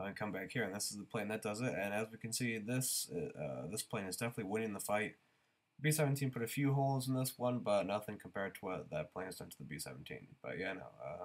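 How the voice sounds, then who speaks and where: A man talks at a very fast pace, his voice fairly low in pitch with vocal fry. His intonation is lively. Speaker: gaming YouTuber. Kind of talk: gameplay commentary. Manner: casual, hesitant with many fillers.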